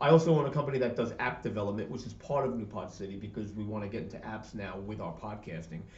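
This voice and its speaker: A man with a New York accent, a fairly low pitch, ordinary pitch variation, an animated tone, big swings in loudness, a very fast pace and audible room echo. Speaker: podcast network owner. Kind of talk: casual interview chat.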